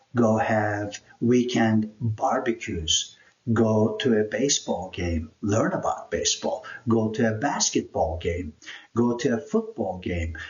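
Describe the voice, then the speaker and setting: Very slowly, a man with a Turkish accent speaks at a medium pitch, somewhat breathy, with ordinary pitch variation. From Turkey (Istanbul). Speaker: YouTuber, immigrant life coach. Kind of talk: personal introduction vlog.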